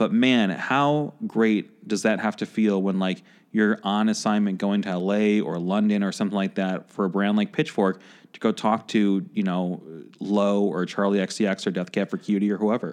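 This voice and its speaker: In an unremarkable speaking voice, a man talks with an American accent at a fairly low pitch and a moderate pace. His intonation is fairly even against a quiet background. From Chicago. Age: 30s. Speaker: podcast host. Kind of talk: casual interview chat. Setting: studio.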